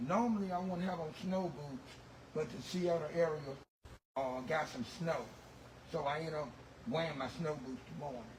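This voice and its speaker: A fairly high male voice at a moderate pace with ordinary pitch variation, audible room echo and noticeable background noise. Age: 60s. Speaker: automotive detailer. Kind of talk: tutorial. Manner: halting, with repeated words and fillers.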